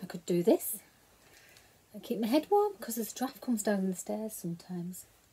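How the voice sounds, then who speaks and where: A woman with a Teesside accent speaks at a moderate pace and a fairly high pitch, with lively intonation. Her loudness swings widely, and she leaves long, frequent pauses. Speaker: knitting vlogger. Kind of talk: casual show-and-tell vlog. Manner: talking quietly.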